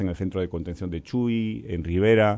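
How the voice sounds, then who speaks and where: A normal speaking voice comes through at a fairly quick pace. Its pitch variation is ordinary. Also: man. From Spain, Galicia. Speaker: UN official. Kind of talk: radio interview.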